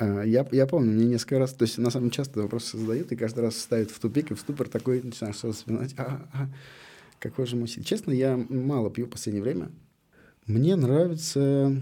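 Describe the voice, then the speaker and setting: At a fairly quick pace, the voice has a dark, mellow tone and ordinary pitch variation. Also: man, medium pitch for a man. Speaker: cider maker. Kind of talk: casual chat.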